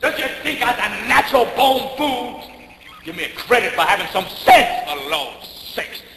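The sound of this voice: Putting on a character voice, a man speaks extremely high for a man, with a bright, sharp tone, lively intonation and a moderate pace.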